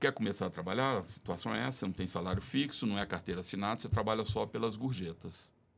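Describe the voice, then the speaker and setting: In a normal speaking voice, this man moves at a fairly quick pace, his pitch varying in an ordinary way. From Brazil, Belo Horizonte. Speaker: podcast guest. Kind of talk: casual chat.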